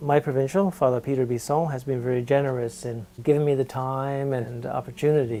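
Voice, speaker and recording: With music in the background, a man talks at a fairly quick pace and medium pitch, his intonation fairly even and hardly any pauses. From Canada, St John's, Newfoundland. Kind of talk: documentary interview.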